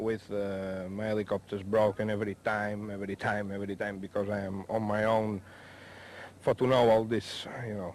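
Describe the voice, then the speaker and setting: With a Spanish accent, a man speaks at a moderate pace in a fairly low, monotone voice with flat intonation. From Spain, Mallorca. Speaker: helicopter pilot. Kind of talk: interview. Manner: halting.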